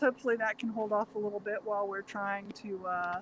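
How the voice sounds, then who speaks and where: A woman talks in a fairly high pitch. She is soft-spoken, and her intonation stays fairly even. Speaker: vegan cooking channel co-host. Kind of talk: casual chat. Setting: outdoors.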